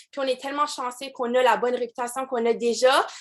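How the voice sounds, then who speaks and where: With an Acadian accent, a woman speaks in a high pitch at a moderate pace on a very clean recording with a silent background. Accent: Acadian French (Chiac), noticeable. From Acadian New Brunswick, Canada. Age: 20s. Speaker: direct sales team leader. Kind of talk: motivational team call talk. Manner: casual, many fillers and English code-switching.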